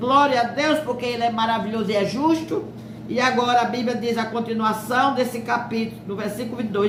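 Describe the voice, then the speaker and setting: High-pitched female speech amid noticeable background noise and audible room echo, its pitch varying in an ordinary way. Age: 70s. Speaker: preacher. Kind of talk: sermon.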